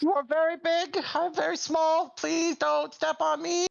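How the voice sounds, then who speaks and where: The put-on character voice is high-pitched and moves at a moderate pace. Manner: pleading.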